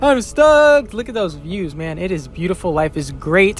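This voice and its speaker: This man has a high voice and lively intonation. Noticeable background noise sits behind him. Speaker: wingsuit skydiver and vlogger. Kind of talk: video voiceover commentary. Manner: fast; animated.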